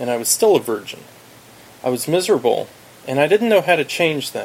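A man's ordinary speaking voice, fairly high in pitch, with lively intonation. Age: 40s. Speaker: self-help author. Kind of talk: audiobook narration.

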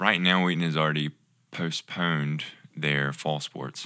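A man's bright, sharp tone on a very clean recording with a silent background. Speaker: podcast guest, ministry intern. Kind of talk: casual.

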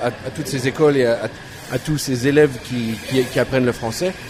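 A man's fairly slow, fairly even voice at medium pitch, with noticeable background noise. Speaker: bookstore owner. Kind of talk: casual chat. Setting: cafe.

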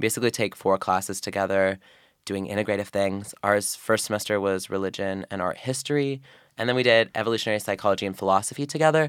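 Speaking very fast in an American accent, a man with a fairly low pitch is heard on a very clean recording with a silent background. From Oregon. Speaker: university student. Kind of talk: casual chat. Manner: frequent ums, hesitant fillers.

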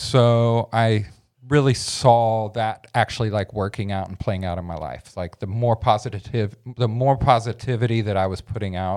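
A man with an American accent speaks at a moderate pace in an ordinary speaking voice of fairly low pitch. The recording is very clean, with a silent background. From Oklahoma and Memphis, Tennessee. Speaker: student and cleaning business owner. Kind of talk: casual interview, life story.

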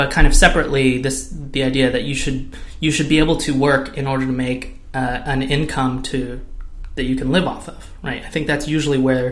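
The speaker has an American accent and a monotone, flat intonation, with noticeable background noise and audible room echo. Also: man, medium pitch for a man, fairly quick pace. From California. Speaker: podcast co-host. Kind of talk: casual tech discussion.

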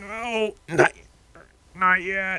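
A put-on character voice at a middle pitch, sounding strained. The delivery stays monotone and flat. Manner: strained, as if pooping.

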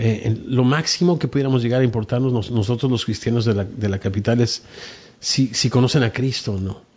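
At a moderate pace, a man talks in a somewhat breathy voice of medium pitch. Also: ordinary pitch variation. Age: 50s. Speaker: pastor. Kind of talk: interview testimony. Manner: soft-spoken; halting, repeats words.

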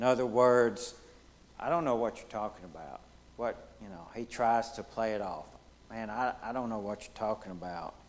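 At a moderate pace, a man with a Southern US accent speaks at a medium pitch with ordinary pitch variation. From US Deep South. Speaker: Bible study leader. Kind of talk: Bible study lesson.

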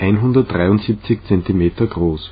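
A man's somewhat breathy, fairly low voice with a Czech accent. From Czech Republic, Litvínov. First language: Czech (speaking German). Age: 30s. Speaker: language learner. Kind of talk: reading aloud.

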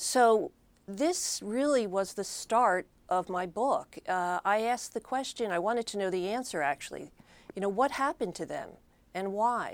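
A woman with an American accent uses a normal speaking voice at medium pitch and a moderate pace, her intonation lively. The recording is very clean, with a silent background. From Philadelphia, Pennsylvania. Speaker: author and former reporter. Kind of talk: interview.

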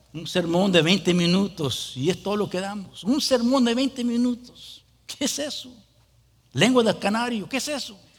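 Lively intonation at a fairly slow pace. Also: man, high pitch for a man. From US. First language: English (speaking Spanish). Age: 40s. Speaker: pastor. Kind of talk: sermon. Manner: halting.

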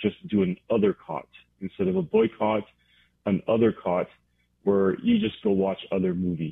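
In a plain, everyday voice, a man speaks fairly low at a moderate pace, with ordinary pitch variation. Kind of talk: radio interview.

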